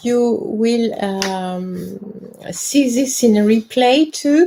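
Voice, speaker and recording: A woman speaks with lively intonation at a fairly high pitch, and noticeable background noise can be heard. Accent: French. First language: French. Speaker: independent researcher and presenter on ancient Egypt. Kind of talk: live stream talk. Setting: live stream from home. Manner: halting, many hesitations.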